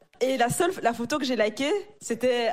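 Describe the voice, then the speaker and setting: A woman talks at a fairly quick pace in a plain, everyday voice. Her pitch varies in an ordinary way. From Africa. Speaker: married churchgoer sharing dating story. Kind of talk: casual panel discussion.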